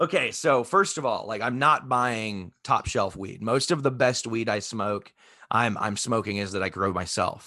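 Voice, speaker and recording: A man with an American accent, bright, sharp tone and medium pitch, ordinary pitch variation, moderate pace and a quiet background. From Texas. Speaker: home cannabis grower, army veteran, podcast host. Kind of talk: casual chat.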